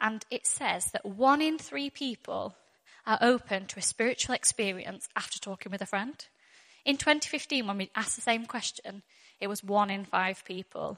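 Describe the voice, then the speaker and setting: A woman speaks with a northwest English accent at a moderate pace, her fairly high pitch carried by lively intonation in a dry, close sound with no echo. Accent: northwest English, fairly thick. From northwest England. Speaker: church Alpha course worker and speaker. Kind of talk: church talk with testimony and prayer. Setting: church with audience.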